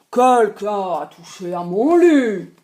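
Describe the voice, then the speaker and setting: A put-on character voice growls at a fairly high pitch. The pace is fairly slow. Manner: growling.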